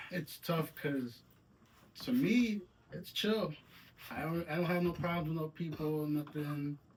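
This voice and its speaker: A man speaks at a fairly high pitch and a fairly slow pace, with ordinary pitch variation. His long, frequent pauses come over noticeable background noise. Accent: American. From Saginaw, Michigan (from age 7, born New York). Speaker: musician. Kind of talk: casual interview.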